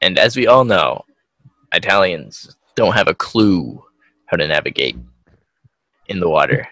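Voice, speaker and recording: In a dry, close sound with no echo, a man with a fairly low pitch, a bright, sharp tone and vocal fry speaks with very wide pitch swings and long, frequent pauses. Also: fairly slow pace. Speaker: podcast co-host. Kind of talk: casual chat. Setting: video call. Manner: laughs often.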